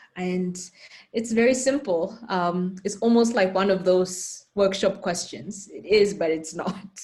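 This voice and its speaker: A woman's somewhat breathy voice at medium pitch, fairly slow in pace. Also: ordinary pitch variation. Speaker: panel moderator. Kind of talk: moderated panel discussion.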